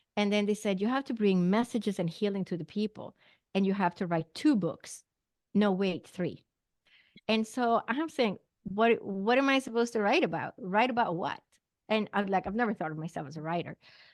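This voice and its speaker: Speaking with a Swedish accent at a fairly quick pace, the voice sounds dry and close with no echo against a quiet background. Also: woman, medium pitch for a woman, ordinary pitch variation. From Sweden. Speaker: naturopathic doctor and psychic medium. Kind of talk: interview testimony.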